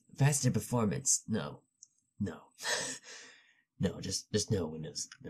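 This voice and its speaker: A quiet, somewhat breathy man with a dark, mellow tone and fairly low pitch talks at a fairly slow pace, using lively intonation, big swings in loudness and long, frequent pauses. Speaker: tech youtuber. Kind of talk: tutorial. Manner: hushed, low voice.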